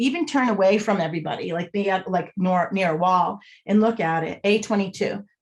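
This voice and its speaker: A somewhat breathy voice with an American accent. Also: woman. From Boston area, US. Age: 50s. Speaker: body language expert and author. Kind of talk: podcast interview.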